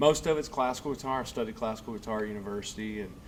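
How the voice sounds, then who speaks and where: With a slight Southern US accent, a man talks very fast amid audible room echo. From US South, Middle Tennessee. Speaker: guitar teacher and tribute performer. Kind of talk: casual chat.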